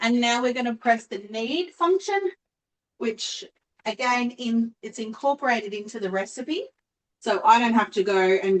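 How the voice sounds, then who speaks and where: A woman's fairly high voice with an Australian accent, lively intonation and a moderate pace. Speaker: cooking appliance sales consultant. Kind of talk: live online cooking demonstration. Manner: chatty, casual.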